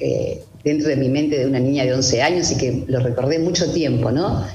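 There is audible room echo and music in the background as a woman speaks. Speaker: witness sharing personal story. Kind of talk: testimony. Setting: video call.

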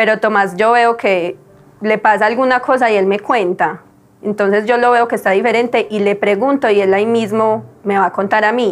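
In a normal speaking voice, a woman talks at a fairly high pitch and a moderate pace. Her intonation is fairly even and her loudness very even. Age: 30s. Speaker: mother of a child with a rare syndrome. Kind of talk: personal testimony.

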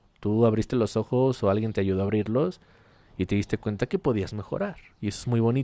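A man with a Mexican accent speaks at a moderate pace in a dark, mellow tone. The very clean recording sounds dry and close, with no echo and a silent background. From Mexico. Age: 20s. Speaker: podcast host. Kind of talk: casual monologue.

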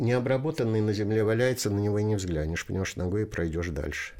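On a very clean recording with a silent background, a man with a fairly low pitch and a dark, mellow tone varies his pitch in an ordinary way. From Russia, Volga region. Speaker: poet and retired teacher. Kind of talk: interview.

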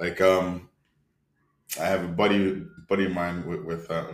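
Very clean audio of a male speaker against total silence. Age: 30s. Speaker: podcast co-host. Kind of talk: casual chat.

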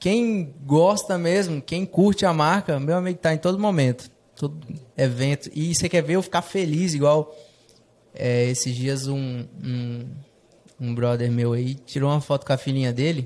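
At a moderate pace, a man speaks with a fairly high pitch. His pitch variation is ordinary. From Brazil, Rondônia (Jaru). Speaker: fashion entrepreneur. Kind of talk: casual interview chat. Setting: studio, streamed live on Instagram.

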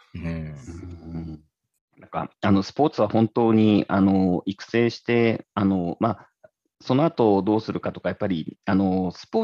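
A man's fairly low voice, dark and mellow in tone, with ordinary pitch variation and big swings in loudness. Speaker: tech entrepreneur, former engineer. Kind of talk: casual chat.

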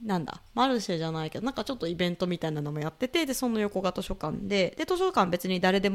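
A woman talks at a very fast pace. Her medium-pitched voice has lively intonation. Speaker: podcast host. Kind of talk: casual chat.

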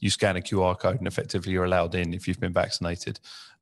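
A man with a very deep, low pitch and a British accent, very fast, with fairly even intonation and a quiet background. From UK. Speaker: podcast host. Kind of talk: casual chat. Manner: halting, many fillers and repeats.

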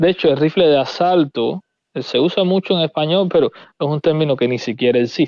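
A man with a Cuban accent, fairly high-pitched, at a moderate pace and with ordinary pitch variation. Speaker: firearms content creator. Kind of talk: casual interview.

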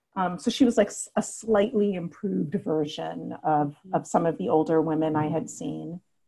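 A woman with an American accent speaks at a moderate pace, fairly low in pitch with lively intonation. Her tone is dark and mellow, with vocal fry. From New York City (Brooklyn, Queens). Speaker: yoga therapist and Reiki teacher. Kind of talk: casual interview.

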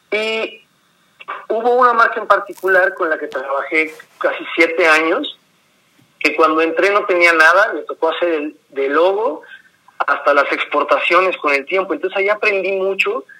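A man's raised, projected voice, high in pitch, with ordinary pitch variation at a moderate pace. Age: 40s. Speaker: graphic designer and mezcal entrepreneur. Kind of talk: interview conversation. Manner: repeats words, hesitant fillers.

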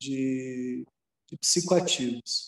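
The recording is dry and close, without any echo. His pitch varies in an ordinary way as the man talks. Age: 40s. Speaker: spiritual movement coordinator. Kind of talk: casual chat. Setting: video call.

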